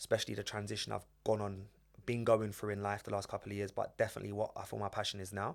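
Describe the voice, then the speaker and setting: In a North London accent, the speaker talks at a very fast pace with monotone, flat intonation on a very clean recording with a silent background. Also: man, fairly low pitch for a man. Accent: North London English, multicultural London. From London, Edmonton. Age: 20s. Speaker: former footballer and football coach. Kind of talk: podcast interview.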